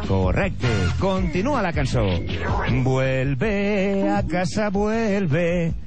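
Music plays in the background as a man speaks at a very slow pace. His voice sits high and moves through very wide pitch swings. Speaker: game show off-screen announcer. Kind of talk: TV quiz show voice-over.

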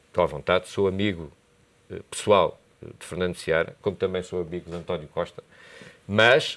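A man with a very deep, low pitch speaks at a moderate pace, with long, frequent pauses. His loudness swings widely. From Portugal. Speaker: university lecturer and commentator; university lecturer, commentator. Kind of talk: TV political debate. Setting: TV studio. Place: studio. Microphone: lapel.

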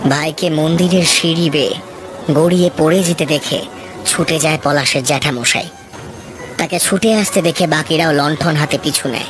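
This man puts on a character voice at a moderate pace. His pitch is fairly high, and background noise is clearly audible. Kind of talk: horror narration. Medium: audio drama. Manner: dramatic, ominous.

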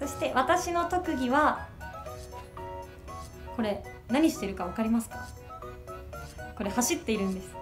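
A woman talks at a high pitch with very wide pitch swings and a moderate pace. Clear music plays in the background, and her pauses are long and frequent. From Niigata, Japan. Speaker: TV announcer. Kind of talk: casual talk to camera. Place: meeting room.

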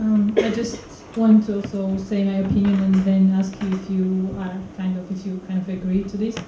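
The speech is monotone and flat, with light background noise and audible room echo. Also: woman, moderate pace. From Georgia. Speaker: audience member; discussion moderator. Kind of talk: audience question; panel discussion question. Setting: theater with audience. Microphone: handheld.

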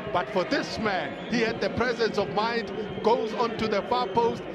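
A man with a high pitch sounds animated and excited. He goes at a fairly slow pace over noticeable background noise. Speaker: football co-commentator. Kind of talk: live match commentary. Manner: animated, excited.

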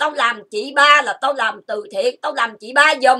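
A woman's raised, projected voice, high-pitched with a bright, sharp tone, lively intonation and a very slow pace. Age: 50s. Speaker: YouTuber. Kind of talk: emotional rant. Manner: animated.

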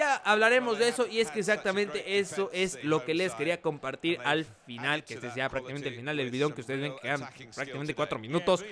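Lively intonation and an enthusiastic, animated tone mark this man's fairly high voice at a very fast pace. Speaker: gaming YouTuber. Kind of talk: live sports commentary over video game footage. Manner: excitable, animated play-by-play with exclamations; fast, enthusiastic, pointing out players and plays.

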